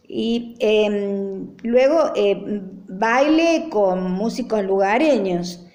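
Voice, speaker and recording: In a room with audible echo, a woman speaks at a very slow pace with a fairly high pitch and lively intonation. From Argentina, Traslasierra (Córdoba). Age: 60s. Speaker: interviewee recounting rural memories. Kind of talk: personal recollection. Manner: frequent hesitations (eh).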